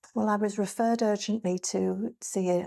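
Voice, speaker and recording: The sound is dry and close, with no echo. A woman with a dark, mellow tone speaks at a moderate pace with fairly even intonation. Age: 60s. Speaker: cancer survivor. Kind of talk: testimony. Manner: hesitant, with fillers.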